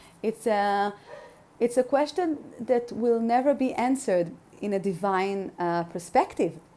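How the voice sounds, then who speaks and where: With a non-native accent, a woman talks fairly slowly. Her tone is dark and mellow. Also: fairly high pitch for a woman, lively intonation. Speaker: spiritual podcaster. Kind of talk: podcast monologue. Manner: halting, many fillers.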